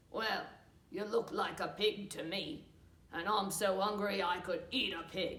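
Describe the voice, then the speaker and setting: A cartoonish character voice at a fairly slow pace. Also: woman, medium pitch for a woman. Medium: puppet. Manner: gruff.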